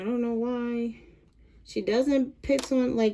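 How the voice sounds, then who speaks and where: Her voice is high, and this woman speaks at a fairly slow pace with fairly even intonation. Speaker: sewing tutorial vlogger. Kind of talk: tutorial. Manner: casual, halting with fillers.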